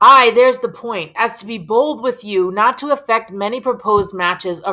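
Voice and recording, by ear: This is someone reading aloud in a natural voice with lively intonation.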